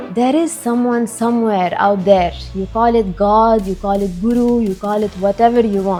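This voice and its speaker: Over music in the background, a woman speaks at a moderate pace and medium pitch. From Lebanon. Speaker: full-time ashram volunteer. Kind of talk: podcast interview answer.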